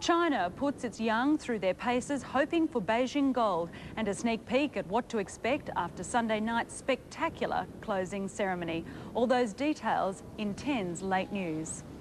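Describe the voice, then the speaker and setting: A woman talks at a moderate pace in a fairly high voice with very wide pitch swings. Noticeable background noise sits behind her. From Australia. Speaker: television news presenter. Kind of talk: news reading. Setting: studio. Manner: formal. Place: studio. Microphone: lapel.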